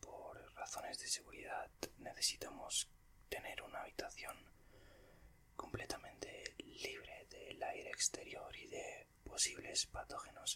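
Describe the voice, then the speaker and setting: Someone whispers at a fairly slow pace. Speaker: ASMR creator. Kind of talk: ASMR roleplay, scientist examining patient. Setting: studio, close-mic recording. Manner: formal, polite, theatrical scientist character; slow, soft-spoken, whispery.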